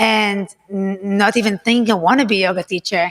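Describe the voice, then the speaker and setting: A woman with a non-native accent talks at a fairly quick pace and medium pitch. Her intonation is fairly even, and the sound is dry and close with no echo. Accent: foreign accent, immigrant to US. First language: not English. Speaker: yoga teacher. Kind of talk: casual interview chat.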